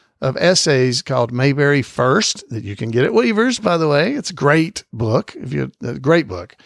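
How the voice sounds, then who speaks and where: At a moderate pace, a speaker with an Alabama accent is heard in a dry, close sound with no echo and a very clean recording with a silent background. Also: man. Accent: Southern US (Alabama). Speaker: podcast host. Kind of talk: casual podcast monologue. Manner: hesitant, frequent fillers.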